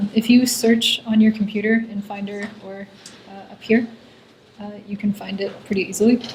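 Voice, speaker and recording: Soft-spoken and fairly high in pitch, a woman talks with noticeable background noise behind her. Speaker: coding workshop instructor. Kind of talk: lecture.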